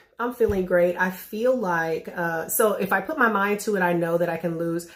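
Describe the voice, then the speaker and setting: Ordinary pitch variation at a moderate pace, with noticeable background noise behind it. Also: woman, medium pitch for a woman. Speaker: vlogger sharing weight loss progress. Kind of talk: casual vlog update.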